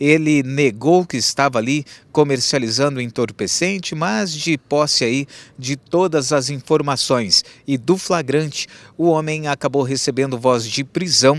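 Fairly slow delivery in a normal speaking voice, pitch varying in an ordinary way. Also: man, dry sound with no echo. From Brazil. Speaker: TV news reporter. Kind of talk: news report.

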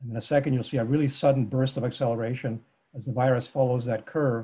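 Over a quiet background, the voice is somewhat breathy, very fast and monotone, with flat intonation. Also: man. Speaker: presenter. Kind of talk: lecture. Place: home room. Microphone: video call.

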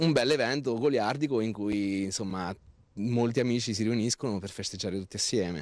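The man speaks at a moderate pace. The sound is dry with no echo. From Marche, Italy. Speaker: farmer and agritourism owner. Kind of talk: TV interview. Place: open country. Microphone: handheld.

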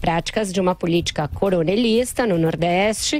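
A woman's voice with a dry sound and no echo. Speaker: political commentator. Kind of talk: commentary. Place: studio. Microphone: studio mic.

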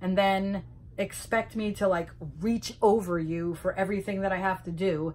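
The speaker is a woman. Her intonation stays fairly even. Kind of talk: casual vlog rant. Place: home room. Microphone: phone near.

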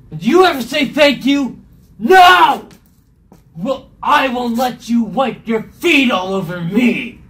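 Someone at a fairly high pitch delivers a put-on character voice at a fairly slow pace. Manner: angry, indignant, then whiny.

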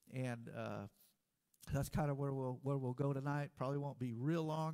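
The voice belongs to a man. Behind him, things are quiet. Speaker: preacher. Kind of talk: sermon. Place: church.

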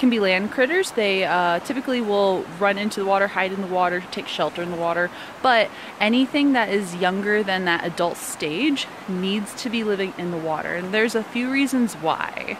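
A woman talks at a moderate pace with ordinary pitch variation. The sound is dry with no echo, but there is noticeable background noise. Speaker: nature educator. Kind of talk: outdoor educational walk-and-talk. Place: forest. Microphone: phone near.

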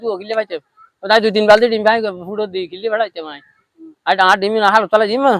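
This man's high-pitched voice keeps a fairly even intonation while its loudness swings widely. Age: 70s. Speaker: fish egg collector. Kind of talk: interview.

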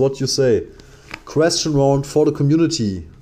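Using ordinary pitch variation, a man speaks at a fairly slow pace with a fairly high pitch. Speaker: gaming streamer. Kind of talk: livestream commentary. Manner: loud; animated.

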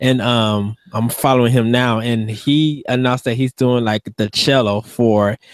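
A man's flat, monotone voice, dry with no echo, over a quiet background. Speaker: podcast co-host. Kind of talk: casual chat. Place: home room. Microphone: studio mic.

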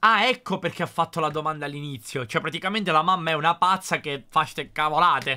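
A man's fairly high voice at a very fast pace with hardly any pauses and ordinary pitch variation, on a very clean recording with a silent background. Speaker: YouTuber. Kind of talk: reaction video commentary. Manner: animated.

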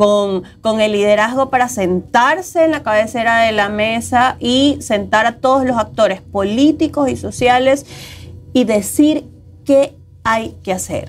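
A woman talks at a fairly slow pace while faint music sits in the background. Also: ordinary pitch variation. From Ecuador. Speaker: co-host. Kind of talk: news discussion show. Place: studio. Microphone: lapel.

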